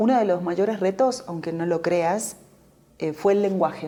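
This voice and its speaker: A woman speaks in an Argentine Rioplatense accent with a dark, mellow tone. Her pace is moderate. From Argentina, Buenos Aires. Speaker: novelist and journalist. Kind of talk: interview.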